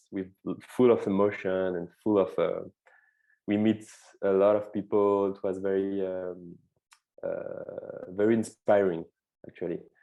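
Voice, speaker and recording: In a French accent, a man speaks at a fairly slow pace with long, frequent pauses. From France, suburbs of Lyon. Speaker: film director. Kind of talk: interview. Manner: halting, many fillers and repeats.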